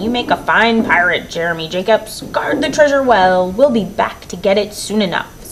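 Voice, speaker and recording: A woman uses a put-on character voice at a medium pitch. Clear background noise can be heard. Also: moderate pace. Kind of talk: children's picture book read-aloud. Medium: read story. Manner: loud, bellowing pirate talk.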